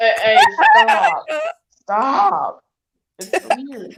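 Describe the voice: A female-sounding voice in a put-on character voice sits at a fairly high pitch.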